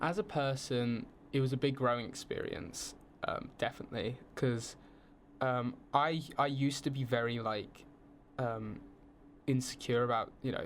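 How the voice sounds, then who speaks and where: Using a southern English accent, a man speaks at a moderate pace and medium pitch with ordinary pitch variation and long, frequent pauses. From southern England, around London. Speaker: film student on exchange. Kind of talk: casual podcast interview.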